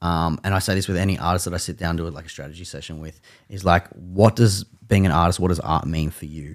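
Over a very clean recording with a silent background, a man with an Australian accent speaks fairly quickly in a very deep, low pitch with ordinary pitch variation. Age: 30s. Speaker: music media founder. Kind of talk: casual chat.

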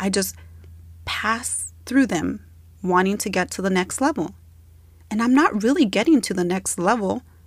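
A woman's medium-pitched voice with vocal fry and lively intonation, at a moderate pace with long, frequent pauses. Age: 30s. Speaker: podcast host. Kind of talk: personal reflection monologue. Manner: conversational.

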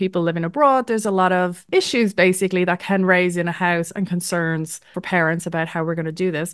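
A woman's medium-pitched voice with an Irish accent, fairly quick pace and fairly even intonation, against a quiet background. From Ireland, east coast. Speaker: podcast co-host. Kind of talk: casual interview.

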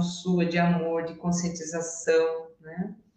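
Audible room echo surrounds a woman speaking at a very slow pace and fairly low pitch. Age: 60s. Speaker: systemic therapist. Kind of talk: casual interview.

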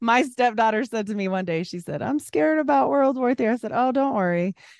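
A woman with a normal speaking voice and a fairly high pitch talks at a fairly quick pace, the sound dry and close with no echo over a quiet background. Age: 40s. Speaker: podcaster. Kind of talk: casual chat.

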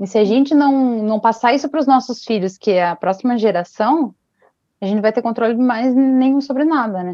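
Using an ordinary speaking voice, a woman of fairly high pitch talks at a fairly quick pace with ordinary pitch variation. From Brazil, Paraná (Ponta Grossa). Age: 20s. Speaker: fashion designer and artisan, single mother. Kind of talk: casual interview.

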